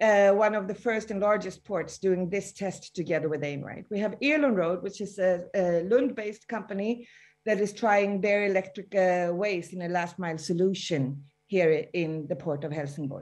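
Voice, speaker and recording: Over a quiet background, a woman speaks at a moderate pace in an ordinary speaking voice. Her pitch is medium, with ordinary variation. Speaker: city international relations officer. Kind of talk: panel discussion. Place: home room. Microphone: video call.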